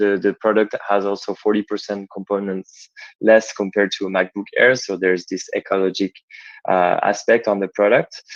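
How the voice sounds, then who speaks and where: A man speaks with a French accent at a fairly low pitch. His intonation is monotone and flat, and the sound is dry and close with no echo. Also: moderate pace. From France. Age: 20s. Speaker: startup founder. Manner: halting. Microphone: connection may glitch.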